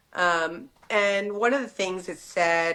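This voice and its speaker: A woman talks with a Texan accent. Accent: Texan American English. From Texas, Dallas. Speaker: fashion entrepreneur. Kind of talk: casual interview. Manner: hesitant fillers.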